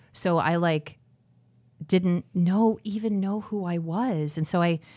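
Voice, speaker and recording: Here is a woman with an American accent and an ordinary speaking voice. Her pitch varies in an ordinary way, and the recording is very clean with a silent background. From Arizona, Phoenix area. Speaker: matchmaker. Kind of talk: casual interview.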